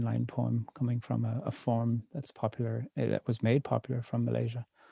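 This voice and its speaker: A man with an Irish accent at a moderate pace, dry and close with no echo, on a very clean recording against a silent background. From Ireland. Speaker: poet. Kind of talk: talk introducing poems at a reading. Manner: engaging public speaker.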